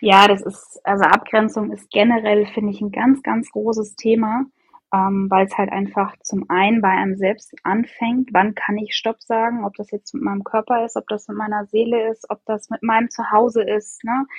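A woman's fairly high voice stays monotone and flat while moving at a moderate pace. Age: 30s. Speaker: podcast guest, mother and coaching client. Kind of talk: casual interview.

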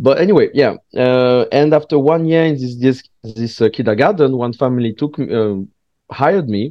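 A man is speaking. He has a French accent. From southwest France. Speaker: stand-up comedian. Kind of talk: casual chat. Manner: halting.

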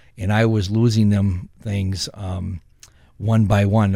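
A man's normal speaking voice, fairly low, with fairly even intonation and an American accent, on a very clean recording with a silent background. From US Midwest, Saint Paul, Minnesota. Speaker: former prisoner, ministry director. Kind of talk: interview testimony.

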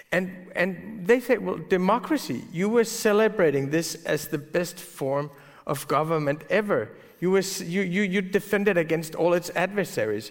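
With a Danish accent, a man talks at a moderate pace in a high pitch, using ordinary pitch variation. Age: 40s. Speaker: newspaper editor. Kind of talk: onstage interview. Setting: stage with audience.

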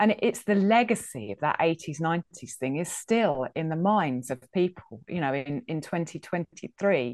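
The speaker talks at a moderate pace in an English accent, with very wide pitch swings. The sound is dry and close with no echo, and there are hardly any pauses. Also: woman, fairly low pitch for a woman. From England. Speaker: food history podcaster. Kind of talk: interview.

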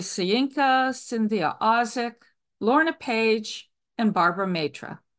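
Against a quiet background, a woman with an American accent talks at a fairly slow pace in a fairly high pitch with very wide pitch swings. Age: 70s. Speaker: writer. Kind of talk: reading aloud a personal essay.

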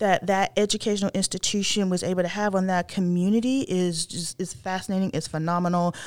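A woman with an American accent has a normal speaking voice. Her medium pitch shows ordinary variation. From northern North Carolina. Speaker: historian. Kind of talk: interview.

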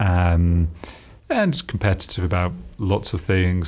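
A man in a British accent speaks with a very deep, low pitch. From UK. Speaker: entrepreneur, company founder. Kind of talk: interview. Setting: company office.

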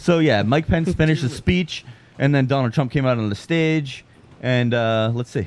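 A man at a moderate pace and medium pitch, with an unremarkable speaking voice and ordinary pitch variation. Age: 20s. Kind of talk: casual chat.

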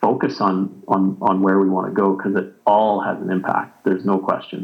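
A man with a Western Canadian accent speaks at fairly low pitch. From Canada, Alberta (Jasper). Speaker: ski instructor, association co-founder. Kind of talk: interview.

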